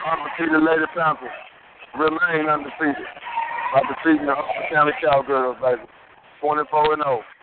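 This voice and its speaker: Noticeable background noise accompanies a man with a fairly high pitch and an animated tone. He keeps a moderate pace with long, frequent pauses. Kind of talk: live commentary. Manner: animated, punchy, exclaiming.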